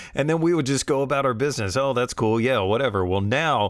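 A man speaks with lively intonation and an animated tone. The recording is very clean, with a silent background. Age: 40s. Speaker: radio host. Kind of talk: casual radio talk between songs.

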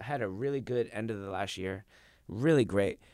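Heard on a very clean recording with a silent background, a man in a plain, everyday voice speaks at a fairly quick pace with ordinary pitch variation. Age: 20s. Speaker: jiu-jitsu instructor and competitor. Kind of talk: casual chat. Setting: studio.

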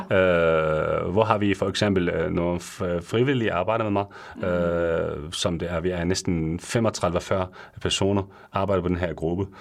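The man's pitch is very deep and low. He talks fairly slowly with fairly even intonation. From Syria. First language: Arabic (speaking Danish). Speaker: pharmacist. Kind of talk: radio interview. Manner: halting, many fillers.

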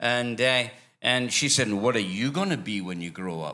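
A man with a Scottish accent and a bright, sharp tone, at a moderate pace, on a very clean recording with a silent background. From Scotland. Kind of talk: church interview. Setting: church with congregation.

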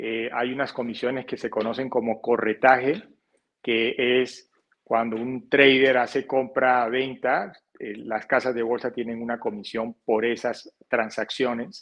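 At a fairly slow pace, a man with a Caribbean Colombian accent speaks in a medium pitch with monotone, flat intonation. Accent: Colombian Caribbean coast accent, noticeable. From Colombia, Barranquilla (Caribbean coast). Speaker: financial advisor. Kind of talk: interview. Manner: halting, many repetitions and fillers.

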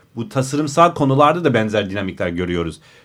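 A man's medium-pitched voice with lively intonation, on a very clean recording with a silent background. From United States. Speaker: designer and architecture writer. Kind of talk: casual chat. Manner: halting.

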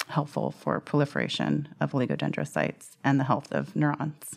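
In a very clean recording with a silent background, a woman with an American accent speaks at a moderate pace. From California, US. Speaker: neuroscientist and product manager. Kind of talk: interview testimony.

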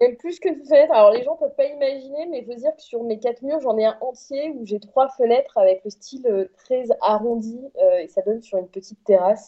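A high-pitched woman talks at a fairly quick pace with hardly any pauses, ordinary pitch variation, and big swings in loudness. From France, Corrèze. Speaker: radio journalist. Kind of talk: casual chat.

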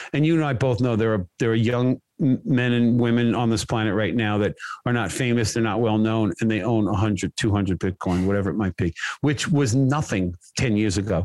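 A man with an American accent has a plain, everyday voice at a medium pitch, with ordinary pitch variation, very even loudness and a dry, close sound with no echo. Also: moderate pace. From US. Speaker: contractor. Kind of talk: casual chat.

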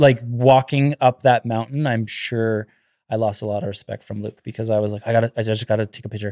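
Fairly quick and fairly even in intonation, a man speaks at a medium pitch in an ordinary speaking voice, with big swings in loudness. The very clean recording is dry and close, with no echo and a silent background. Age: 30s. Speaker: carpenter. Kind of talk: casual chat.

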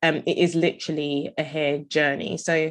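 Here a woman speaks with a London accent in a very deep, low pitch. Her intonation is monotone and flat, over a quiet background. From London, England. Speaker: entrepreneur. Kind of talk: interview.

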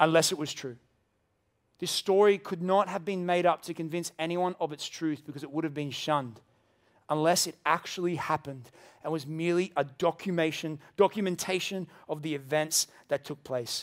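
Speaking with an Australian accent, a man uses a fairly high pitch and fairly even intonation at a moderate pace. The recording is very clean, with a silent background. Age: 30s. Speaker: pastor. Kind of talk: sermon. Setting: church.

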